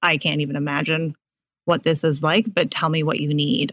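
A woman with an American accent speaks at a very deep, low pitch in a very clean recording with a silent background. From Boston area. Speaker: nonprofit operations manager. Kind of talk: podcast interview.

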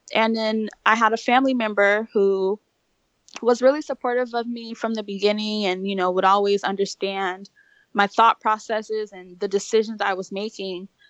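A woman talks in a plain, everyday voice, fairly high in pitch with fairly even intonation. The sound is dry and close, with no echo. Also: moderate pace, big swings in loudness. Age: 30s. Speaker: single mother and blogger. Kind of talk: interview.

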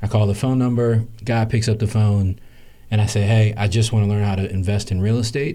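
A man with an American accent speaks at a fairly quick pace with fairly even intonation. His fairly low voice is somewhat breathy, with a dark, mellow tone. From US South. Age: 30s. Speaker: real estate investor. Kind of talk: interview. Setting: live stream.

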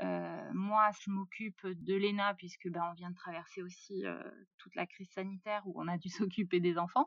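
In an ordinary speaking voice, a woman talks at a moderate pace and medium pitch, her intonation fairly even. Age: 30s. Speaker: self-builder of a tiny house. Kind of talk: interview conversation.

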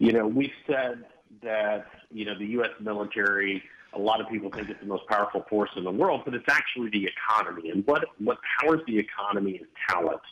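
A man with an American accent and an ordinary speaking voice talks at a fairly quick pace, with fairly low pitch and ordinary pitch variation. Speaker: military veteran and corporate recruiting executive. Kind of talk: interview.

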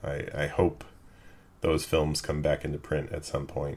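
A man speaks at a fairly slow pace. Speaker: podcast host. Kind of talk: casual conversation, film discussion.

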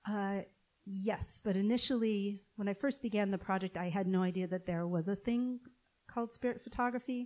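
A woman speaks in a plain, everyday voice at a moderate pace. Her pitch is medium, with ordinary pitch variation. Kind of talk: interview. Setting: stage with audience.

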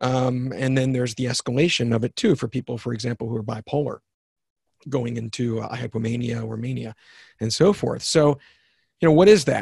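Somewhat breathy and dark, mellow in tone, a man's medium-pitched voice moves at a fairly quick pace with ordinary pitch variation, dry and close with no echo. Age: 50s. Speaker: author and success trainer. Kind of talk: interview conversation.

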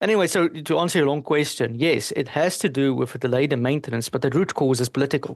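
A man with a South African accent talks at a very fast pace, his pitch fairly high. His pitch varies in an ordinary way against a quiet background. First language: Afrikaans. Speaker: energy analyst and engineer. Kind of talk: casual interview.

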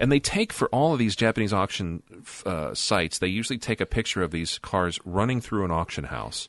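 A plain, everyday voice talks at a fairly quick pace with lively intonation, in a dry, close sound with no echo and a quiet background. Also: man, fairly low pitch for a man. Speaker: podcast host. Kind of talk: casual chat.

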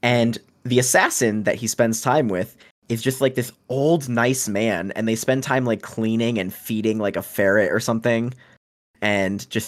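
Speaking at a moderate pace, this man has a plain, everyday voice with medium pitch and ordinary pitch variation, recorded very cleanly against a silent background. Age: 20s. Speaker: book podcast guest. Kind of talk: casual chat.

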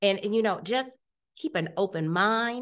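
A woman with an American accent and a plain, everyday voice, fairly high-pitched, at a moderate pace with lively intonation, over a quiet background. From Ohio, US Midwest (Youngstown). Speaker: health system executive, former nurse. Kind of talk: interview. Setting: conference summit.

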